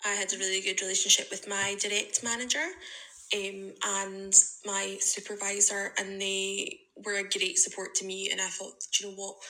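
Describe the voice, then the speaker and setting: With a Scottish accent, a woman of medium pitch speaks at a moderate pace in a bright, sharp tone and a monotone, flat intonation. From Scotland. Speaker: listener sending a voice memo. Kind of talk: testimony. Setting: recorded voice message.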